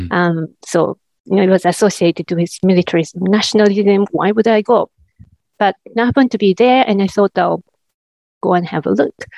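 At a fairly quick pace, a woman with a medium pitch and a dark, mellow tone speaks with ordinary pitch variation in a dry, close sound with no echo. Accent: Japanese. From Japan. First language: Japanese. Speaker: academic researcher. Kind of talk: interview. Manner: halting with fillers.

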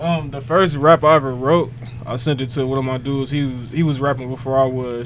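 Over noticeable background noise, a man speaks at a fairly quick pace with medium pitch and fairly even intonation. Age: 20s. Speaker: rapper. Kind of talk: casual chat.

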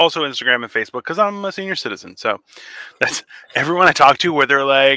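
Speaking at a very fast pace, a man sounds animated, with lively intonation. His tone is bright and sharp. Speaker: podcast co-host. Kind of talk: casual banter. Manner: animated, joking.

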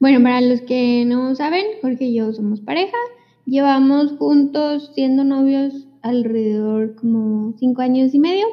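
A woman's high-pitched voice at a fairly slow pace. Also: ordinary pitch variation. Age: 20s. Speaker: podcast co-host. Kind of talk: casual chat.

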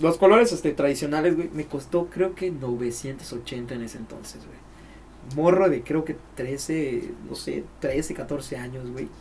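A man with a Mexican accent talks at a very slow pace, with ordinary pitch variation and big swings in loudness. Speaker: podcast host. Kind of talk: casual chat. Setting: studio.

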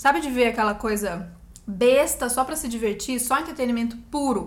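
Amid audible room echo, a woman with a high pitch talks at a fairly quick pace with ordinary pitch variation. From Brazil, Campinas. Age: 30s. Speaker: actress. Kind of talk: casual chat. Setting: recording at home.

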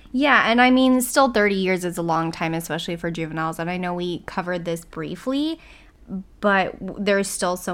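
A woman speaks with an unremarkable speaking voice, fairly low in pitch and with ordinary pitch variation. The recording is very clean, with a silent background. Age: 20s. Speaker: true crime podcast co-host. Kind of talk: casual chat.

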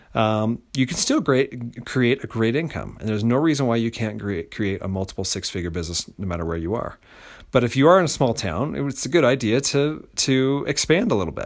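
An American accent from a man of medium pitch, a plain, everyday voice at a fairly quick pace, on a very clean recording with a silent background. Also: lively intonation. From rural United States. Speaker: podcast host and business coach. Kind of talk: solo podcast monologue. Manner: casual, with many fillers.

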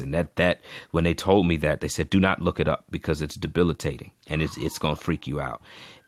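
The recording is very clean with a silent background, dry and close with no echo. A man with a very deep, low pitch speaks at a moderate pace in fairly even intonation. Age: 30s. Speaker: pastor. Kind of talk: interview. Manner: soft-spoken.

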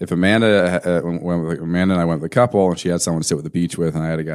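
Speaking at a very fast pace, a man uses a very deep, low pitch and fairly even intonation. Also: very clean recording, silent background. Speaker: podcast co-host; company owner, mortgage business. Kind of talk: casual banter over beers.

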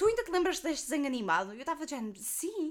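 A woman with a European Portuguese accent, high-pitched, with very wide pitch swings and a very fast pace. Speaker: podcast co-host. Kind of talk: casual chat.

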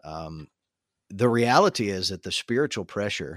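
A plain, everyday voice from a man with an American accent, fairly low in pitch with ordinary pitch variation, in a very clean recording with a silent background and a dry, close sound free of echo. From Tennessee, US South. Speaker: podcast host and assistant pastor. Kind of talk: interview conversation.

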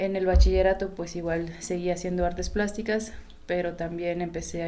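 Audible room echo surrounds a woman whose fairly low voice has a dark, mellow tone. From Mexico, Oaxaca. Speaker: photographer. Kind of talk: casual interview chat.

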